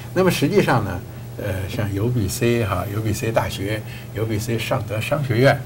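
A man at a very slow pace, with ordinary pitch variation and noticeable background noise. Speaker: TV show host. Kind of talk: studio interview. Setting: studio. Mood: friendly, smiling, relaxed. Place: studio. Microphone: lapel.

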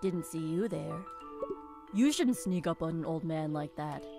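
A put-on character voice speaks at a middle pitch and a moderate pace. Clear music plays in the background. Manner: grumpy, scolding.

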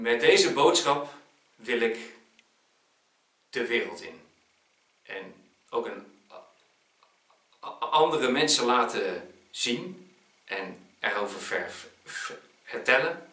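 Long, frequent pauses in a man's very slow delivery. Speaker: motivational speaker. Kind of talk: promotional speaker pitch to camera.

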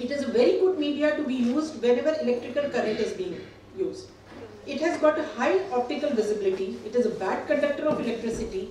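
Talking at a very fast pace in a high pitch, a woman is heard with audible room echo and light background noise. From India. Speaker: gynecologist. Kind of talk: conference presentation. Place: hall. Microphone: camera far.

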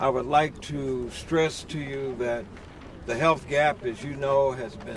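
The sound is dry, with no echo, and noticeable background noise runs underneath. Pitch varies in an ordinary way. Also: man. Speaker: activist. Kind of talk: introductory speech. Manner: emphatic. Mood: earnest, slightly critical. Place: street. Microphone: handheld.

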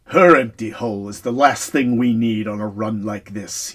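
At a moderate pace, this man delivers his lines. He uses a put-on character voice at a medium pitch. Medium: read story. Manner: barking, curt, commanding.

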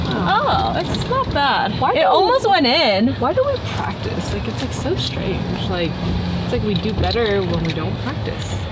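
Someone talks at a moderate pace. Loud background noise runs underneath. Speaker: golf vlogger. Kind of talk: casual vlog chat. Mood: cheerful, relaxed. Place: open country. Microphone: phone near.

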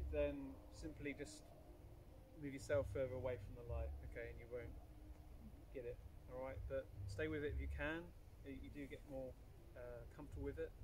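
The man talks at a fairly quick pace. Noticeable background noise runs behind him. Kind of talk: guided session instructions. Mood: calm, reassuring. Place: open country.

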